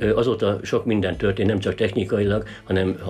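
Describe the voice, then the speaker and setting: Using an ordinary speaking voice, a man talks at a fairly low pitch with fairly even intonation. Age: 60s. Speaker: local historian. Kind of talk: interview.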